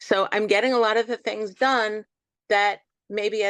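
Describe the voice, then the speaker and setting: Against a quiet background, a woman talks in a normal speaking voice at a medium pitch, with fairly even intonation and a dry, close sound with no echo. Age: 60s. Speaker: interview guest, cancer survivor. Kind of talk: interview conversation.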